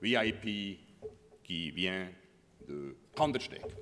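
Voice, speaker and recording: Audible room echo follows a man as he speaks at a very slow pace. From Bernese Oberland, Switzerland. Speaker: border guard commander. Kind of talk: conference talk.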